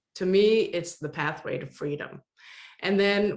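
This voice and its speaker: A woman is speaking. She has a Danish accent. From Denmark. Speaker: online course consultant. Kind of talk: interview.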